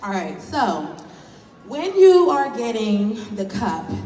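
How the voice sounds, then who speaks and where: A woman with an American accent at a fairly slow pace, with audible room echo and noticeable background noise. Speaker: professional bra fitter leading a workshop. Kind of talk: live workshop demonstration. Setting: trade show workshop with live audience. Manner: loud.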